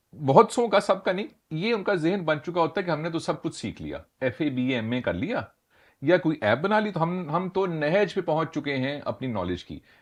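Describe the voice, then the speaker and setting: A man talks with lively intonation. His voice sits high in pitch. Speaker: talk show host. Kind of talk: interview question.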